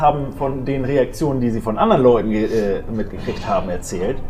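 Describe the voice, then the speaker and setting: A man talks at a moderate pace with very wide pitch swings, over noticeable background noise and audible room echo. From northern Germany, Dithmarschen (Schleswig-Holstein). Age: 40s. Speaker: gym owner. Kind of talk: casual interview.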